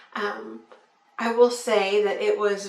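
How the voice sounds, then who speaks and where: Clear background noise mixes with noticeable echo from the room. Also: woman. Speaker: vlogger. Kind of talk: video diary. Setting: home. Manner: casual, relaxed.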